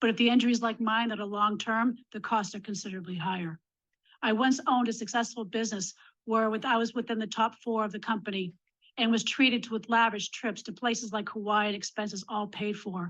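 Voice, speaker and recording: A normal speaking voice moves at a fairly quick pace with fairly even intonation. The background is quiet. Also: woman, fairly high pitch for a woman. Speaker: domestic violence survivor and advocate. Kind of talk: legislative testimony.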